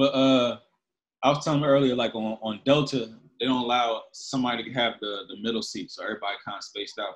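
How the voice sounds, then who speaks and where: Speaking very fast with an American accent, a man keeps a medium pitch and fairly even intonation. His loudness swings widely. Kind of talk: casual chat, podcast.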